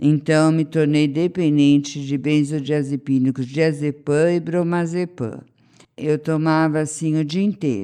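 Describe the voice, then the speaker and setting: Speaking very slowly against a quiet background, a woman uses a very deep, low pitch and fairly even intonation. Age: 60s. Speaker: interviewee sharing recovery experience. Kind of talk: testimony.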